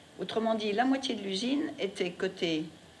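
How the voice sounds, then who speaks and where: Background noise is noticeable and room echo can be heard. A woman speaks at a moderate pace. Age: 80s+. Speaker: interviewee, wartime childhood witness. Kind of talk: testimony.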